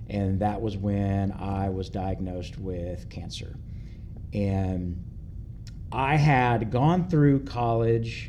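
A man with a Kentucky accent speaks at a very slow pace, in a fairly low pitch and a dark, mellow tone. His pitch variation is ordinary, and the room echo is audible. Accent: Kentucky Southern American. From US South, rural Kentucky. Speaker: worship team guitarist, church member. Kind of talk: personal testimony interview.

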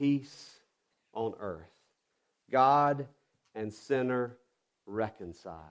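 In a Southern US accent, a man of medium pitch speaks at a very slow pace with long, frequent pauses. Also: ordinary pitch variation. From US South. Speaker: pastor. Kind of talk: sermon. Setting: church.

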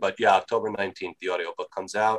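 Someone speaks at a very fast pace with an American accent. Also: man. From New York. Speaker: author. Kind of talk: podcast interview. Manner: boisterous; loud.

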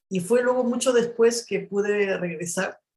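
A woman's somewhat breathy voice with fairly even intonation at a moderate pace. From Peru, Ayacucho. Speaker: journalist and writer. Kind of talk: interview. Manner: halting, with frequent repetitions.

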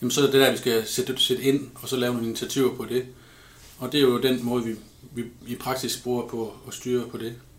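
A man's medium-pitched voice, monotone and flat in intonation, moves at a fairly quick pace. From Denmark, Ribe area (southwest Jutland). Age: 30s. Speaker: pig farmer. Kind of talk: interview.

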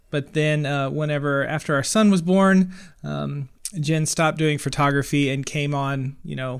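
In a very clean recording with a silent background, a man with a fairly high pitch speaks at a moderate pace in a normal speaking voice. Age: 30s. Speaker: wedding filmmaker and podcaster. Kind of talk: casual interview.

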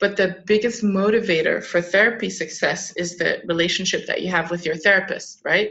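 With an American accent and an unremarkable speaking voice, a woman talks at a fairly quick pace, hardly any pauses, and fairly even intonation. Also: medium pitch for a woman. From Southern California, later Luxembourg, France and Germany. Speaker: clinical psychologist and startup founder. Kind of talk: interview.

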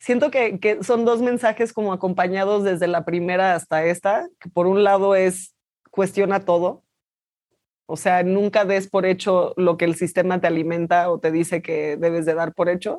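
Fairly even intonation and a moderate speed from a woman at a medium pitch, an unremarkable speaking voice. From Mexico. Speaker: actress. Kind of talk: interview. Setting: remote video call.

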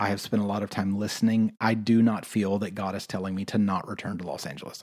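With fairly even intonation, the words come at a fairly quick pace. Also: man. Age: 30s. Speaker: podcast host, worship leader and health coach. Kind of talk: casual solo monologue. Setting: room in an Airbnb. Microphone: echoey room.

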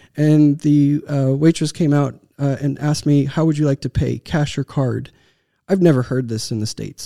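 A man speaks with a Texan accent at a fairly quick pace, his pitch fairly high for a man. His tone is dark and mellow, and the very clean recording sounds dry and close with no echo against a silent background. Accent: American, Texan. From Texas. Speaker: tech startup founder and CEO. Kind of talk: interview. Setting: studio.

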